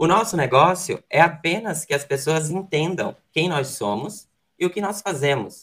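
A man speaks with a high pitch and lively intonation. His pace is fairly slow. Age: 20s. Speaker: real estate broker and student. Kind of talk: presentation segment.

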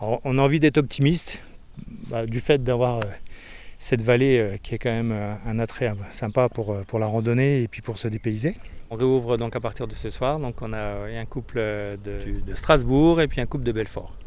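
Medium in pitch, a man speaks at a moderate pace with fairly even intonation. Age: 40s. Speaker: guesthouse owner. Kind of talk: interview. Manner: hesitant, with repetitions.

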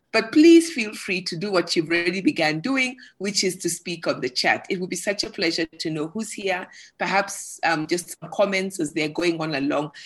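An ordinary speaking voice from a woman at medium pitch, moderate pace and with lively intonation. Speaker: forum moderator. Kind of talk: moderated panel discussion. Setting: online video call.

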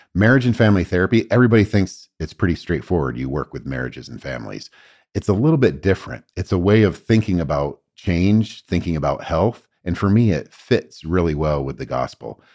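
Over a very clean recording with a silent background, a man with a very deep, low voice and vocal fry speaks at a fairly quick pace, his pitch swinging very widely. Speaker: professor and therapist. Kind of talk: casual interview conversation. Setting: studio, same room as host. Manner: humorous, joking.

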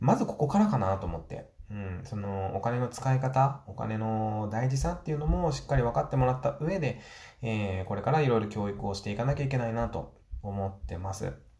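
A man speaks at a medium pitch and a fairly quick pace, with lively intonation and a dark, mellow, somewhat breathy tone. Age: 40s. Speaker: business owner and podcaster. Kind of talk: solo podcast monologue.

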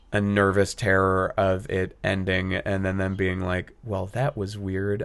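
Over a quiet background, a man speaks at a moderate pace with a fairly low pitch. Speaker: actor and new stand-up comedian. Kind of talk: casual chat. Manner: rambly, self-deprecating.

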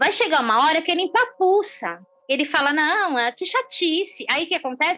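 A woman talks in a raised, projected voice at an extremely high pitch and a fairly quick pace, with lively intonation. Background noise is noticeable. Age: 50s. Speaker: social entrepreneur. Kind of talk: interview.

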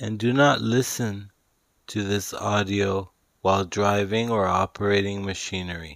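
A man's fairly low, soothing voice at a fairly slow pace, on a very clean recording with a silent background. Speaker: author reading his own self-help audiobook. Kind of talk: guided meditation with breathing and visualization prompts; audiobook narration, spiritual self-help. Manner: slow, soothing, repetitive meditation cues; deliberate, each word emphasized.

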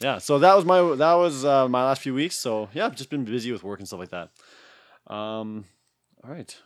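At a moderate pace, a man with a Canadian accent speaks at a medium pitch with lively intonation and an unremarkable speaking voice. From Alberta, Canada. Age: 30s. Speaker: podcast host and gym worker. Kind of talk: casual chat; scripted show intro.

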